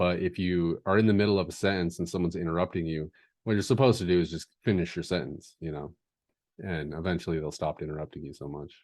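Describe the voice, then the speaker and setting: Against a quiet background, a man speaks in a very deep, low pitch. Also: ordinary pitch variation. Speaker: podcast host. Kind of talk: casual chat. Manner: slow; filler words, ums.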